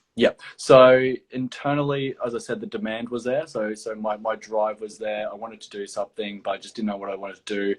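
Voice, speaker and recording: A man with an Australian accent speaks at a medium pitch, with hardly any pauses. His loudness swings widely while his intonation stays fairly even. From Australia, Gold Coast, Queensland. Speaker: property development professional. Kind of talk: interview. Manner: halting, many fillers.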